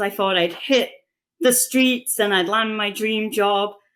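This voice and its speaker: Fairly high-pitched woman with an English accent and ordinary pitch variation, very clean recording with a silent background. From England. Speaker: chief operating officer. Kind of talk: podcast interview.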